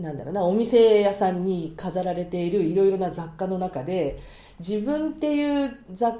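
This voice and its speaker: At a moderate pace, a dark, mellow tone carries lively intonation through audible room echo. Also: woman, medium pitch for a woman. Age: 50s. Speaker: marriage agency matchmaker. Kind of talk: casual chat. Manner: animated.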